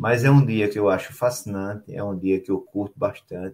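A man's normal speaking voice, fairly low in pitch with ordinary variation, at a moderate pace. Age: 60s. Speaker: show host and table football organizer. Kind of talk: casual chat. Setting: live stream.

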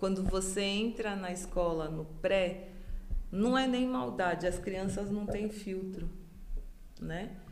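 Over noticeable background noise and audible room echo, a woman talks at a very slow pace with a medium pitch. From Brazil, São Paulo area. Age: 40s. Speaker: hairdresser. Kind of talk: casual chat.

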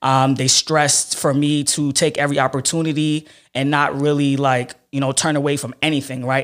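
A man in a Brooklyn accent, monotone and flat, with hardly any pauses, on a very clean recording with a silent background. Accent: New York (Brooklyn). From Brooklyn, New York (Flatbush), Haitian immigrant parents. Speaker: ad sales professional and social media influencer. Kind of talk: casual interview chat.

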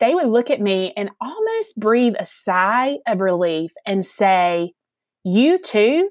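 A woman at medium pitch with a Southern US accent. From Alabama, US South. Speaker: mental health advocate and author. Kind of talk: casual interview chat.

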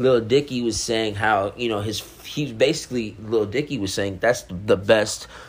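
A man's normal speaking voice at medium pitch, with fairly even intonation and a moderate pace. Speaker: podcast host reviewing music. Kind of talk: casual solo album review. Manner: laid-back, relaxed.

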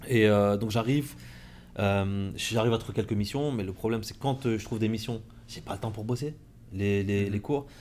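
Fairly even intonation at a moderate pace. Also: man, fairly low pitch for a man. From France, Compiègne. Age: 40s. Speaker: entrepreneur and mentor. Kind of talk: casual interview. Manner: halting.

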